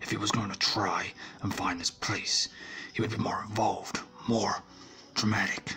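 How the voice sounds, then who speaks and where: Whispering in a put-on character voice, a man speaks at a moderate pace with long, frequent pauses. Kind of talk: ASMR audio drama.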